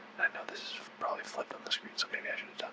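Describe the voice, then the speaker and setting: Very fast whispering over noticeable background noise. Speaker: vlogger. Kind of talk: asmr book talk. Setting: at home, filming self on camera. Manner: quiet, soft-spoken.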